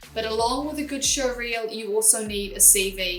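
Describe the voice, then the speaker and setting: A woman with a New Zealand accent speaks at a fairly high pitch with ordinary pitch variation. Music plays in the background, and there is audible room echo. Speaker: former professional women's footballer and channel host. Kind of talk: tutorial. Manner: clear, deliberate.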